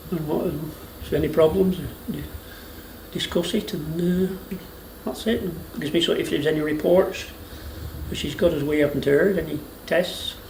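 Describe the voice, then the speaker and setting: A man with a Lancashire accent speaks in a high voice with fairly even intonation and long, frequent pauses over noticeable background noise. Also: moderate pace. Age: 60s. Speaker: retired dairy farmer. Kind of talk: interview answer.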